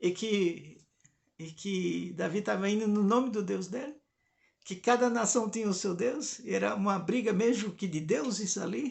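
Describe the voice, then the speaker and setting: The man's voice sits high in pitch. His pitch varies in an ordinary way. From Brazil, Recife (Pernambuco). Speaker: mythology and religion commentator. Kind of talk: informal lecture. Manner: conversational, with hesitations and repetitions.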